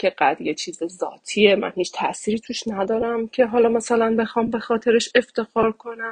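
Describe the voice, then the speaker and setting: Speaking at a moderate pace, a woman with a fairly high pitch sounds dry and close, with no echo. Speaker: interviewee. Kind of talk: testimony. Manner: halting.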